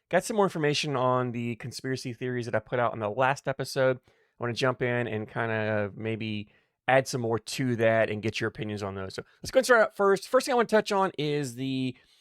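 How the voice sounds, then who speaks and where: Talking at a fairly quick pace with hardly any pauses, a man of medium pitch with an American accent uses lively intonation on a very clean recording with a silent background. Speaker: cornhole podcaster and bag reviewer. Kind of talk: casual podcast monologue. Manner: fast; halting, repeats words.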